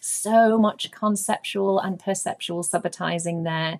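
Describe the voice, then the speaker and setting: This woman speaks with ordinary pitch variation. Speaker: early years maths trainer. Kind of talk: webinar presentation. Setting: online webinar call. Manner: fast.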